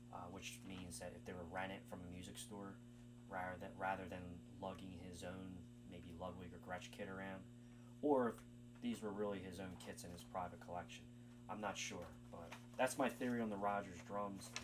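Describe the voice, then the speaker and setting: Vocal fry and long, frequent pauses amid audible room echo. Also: man, very deep, low pitch for a man. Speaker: music channel uploader. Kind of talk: video commentary. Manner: fast; hesitant, many fillers.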